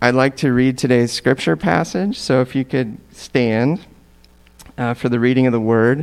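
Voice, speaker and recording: A man uses an ordinary speaking voice at medium pitch with ordinary pitch variation. His pace is moderate and his loudness very even. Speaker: church leader. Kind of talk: scripture reading and prayer. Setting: church.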